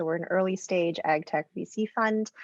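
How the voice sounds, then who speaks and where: With a slight Canadian accent, a woman speaks in a dry, close sound with no echo against a quiet background. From Canada. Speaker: venture capital investor, plant biologist. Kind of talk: panel discussion.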